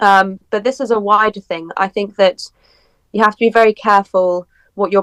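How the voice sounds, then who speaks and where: A woman with a British accent talks at a moderate pace, at a medium pitch with fairly even intonation. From UK. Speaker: political commentary guest. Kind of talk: podcast interview.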